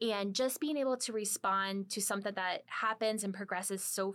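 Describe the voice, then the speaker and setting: In a very clean recording with a silent background, a woman with an American accent speaks in an unremarkable speaking voice, her pitch fairly high and its variation ordinary. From US Midwest, small-town Ohio. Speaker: marine biology professor. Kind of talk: interview conversation.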